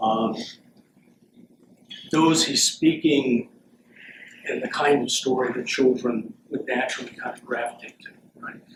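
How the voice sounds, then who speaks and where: At a fairly slow pace, a man with a medium pitch speaks with fairly even intonation, long, frequent pauses and big swings in loudness over noticeable background noise. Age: 60s. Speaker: philosophy professor emeritus. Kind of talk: Q&A after a lecture.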